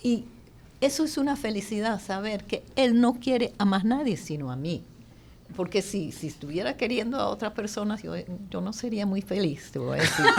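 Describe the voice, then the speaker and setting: Speaking at a moderate pace, a woman of medium pitch shows lively intonation and vocal fry. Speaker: pro-life advocate. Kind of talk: panel debate. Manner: halting.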